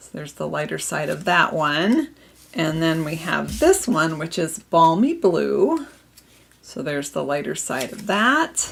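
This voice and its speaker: A woman with an Upper Midwest US accent at a fairly slow pace, with big swings in loudness and noticeable background noise. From Minnesota. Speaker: papercraft demonstrator. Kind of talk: live craft tutorial.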